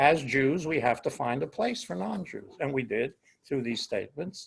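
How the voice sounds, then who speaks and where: At a moderate pace, a man with vocal fry speaks in a fairly high pitch that swings very widely. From Italy. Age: 80s+. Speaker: rabbi. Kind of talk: interview conversation.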